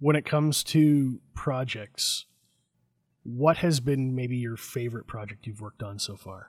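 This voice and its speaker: Somewhat breathy and medium in pitch, a man's voice shows big swings in loudness in a very clean recording with a silent background. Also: ordinary pitch variation, fairly slow pace. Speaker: podcast host. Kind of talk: casual interview chat.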